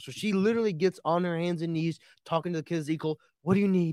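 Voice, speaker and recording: A man's fairly high, normal speaking voice with an American accent at a fairly quick pace, dry and close with no echo, on a very clean recording with a silent background. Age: 20s. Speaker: Republican co-host and political commentator. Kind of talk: heated political debate.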